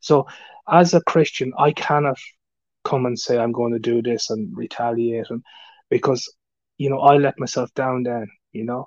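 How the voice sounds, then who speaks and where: A man with an Irish accent speaks at a moderate pace and a medium pitch, with ordinary pitch variation and long, frequent pauses. The sound is dry and close with no echo, over a quiet background. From Ireland. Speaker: YouTuber. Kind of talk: live stream chat. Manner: halting.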